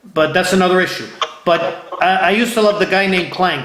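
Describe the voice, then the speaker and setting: In an American accent, a man projects a raised, high-pitched voice with an animated tone, heard through audible room echo and noticeable background noise. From Ohio. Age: 50s. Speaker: interview show host. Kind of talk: casual interview. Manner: animated, repetitive.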